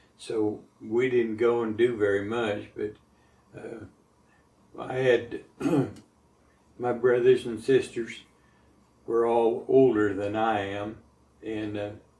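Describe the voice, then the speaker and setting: Speaking at a very slow pace with long, frequent pauses, a man with an American accent keeps a monotone, flat intonation. His tone is dark and mellow, and his loudness swings widely. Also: medium pitch for a man. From Montana. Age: 70s. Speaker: war veteran. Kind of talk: oral history interview. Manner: halting.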